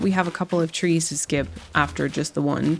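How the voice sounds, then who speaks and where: A woman talks at a moderate pace in a relaxed tone. Music plays in the background. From Germany. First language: German. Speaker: gaming content creator. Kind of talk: relaxed gameplay commentary. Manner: relaxed, casual with fillers.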